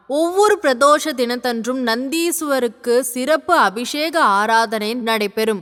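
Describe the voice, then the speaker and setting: A woman speaks in a high voice with lively intonation. Noticeable background noise can be heard. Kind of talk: religious explanatory narration.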